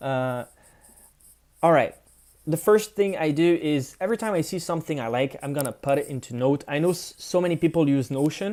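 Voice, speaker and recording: The speaker has a French accent and a fairly quick pace. The recording is very clean, with a silent background. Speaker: content creator. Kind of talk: live screen-share tutorial. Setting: livestream from home apartment. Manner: casual, with frequent fillers and restarts.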